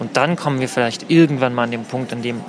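A man at medium pitch and moderate pace, with ordinary pitch variation, over noticeable background noise. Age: 20s. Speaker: queer health counselor. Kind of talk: one-on-one conversation at a public event.

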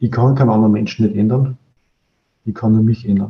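This man's voice is somewhat breathy with a dark, mellow tone. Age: 40s. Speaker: business process expert, coaching client. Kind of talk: interview, casual chat. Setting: video call.

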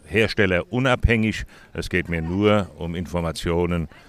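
This man's pitch is very deep and low. It shows ordinary pitch variation. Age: 70s. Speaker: cochlear implant volunteer mentor. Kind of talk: interview. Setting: outdoors.

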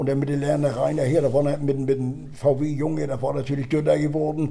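A man at a fairly high pitch, amid noticeable background noise and audible room echo. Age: 70s. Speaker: retired football superfan. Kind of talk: casual chat.

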